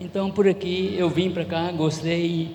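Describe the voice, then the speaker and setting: Against noticeable background noise and audible room echo, a man with a high-pitched voice speaks at a fairly slow pace. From Goiás, Brazil. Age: 70s. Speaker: church member giving testimony. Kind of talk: testimony.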